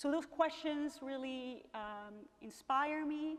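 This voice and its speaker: A woman with a slight Venezuelan accent, fairly slow delivery and ordinary pitch variation, over noticeable background noise. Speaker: professor. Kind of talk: lecture. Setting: museum gallery with audience. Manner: animated.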